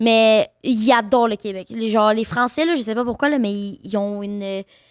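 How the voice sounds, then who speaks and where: Fairly slow woman's voice, fairly high, in a Quebec accent, with ordinary pitch variation, in a very clean, dry, close recording with a silent background and no echo. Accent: Quebec French, unchanged. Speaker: streamer and content creator. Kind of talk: casual chat. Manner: animated.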